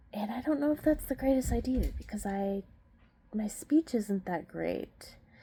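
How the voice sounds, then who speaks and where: With a dark, mellow, somewhat breathy tone, a woman at a medium pitch speaks at a moderate pace with lively intonation. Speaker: vlogger. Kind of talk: casual personal vlog. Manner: halting, many filler words.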